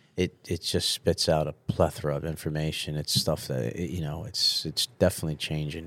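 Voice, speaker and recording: Vocal fry at a fairly quick pace. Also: man, very deep, low pitch for a man. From Sicily, then New Jersey and upstate New York. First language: Italian. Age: 40s. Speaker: restaurant owner. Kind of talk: casual interview chat. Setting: studio. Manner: halting.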